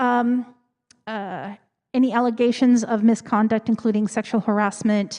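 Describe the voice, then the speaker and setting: A woman's fairly high voice carries a dark, mellow tone and fairly even intonation. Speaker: church committee member presenting finances. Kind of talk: Q&A presentation at a congregational meeting. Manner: fast; casual, filler-heavy.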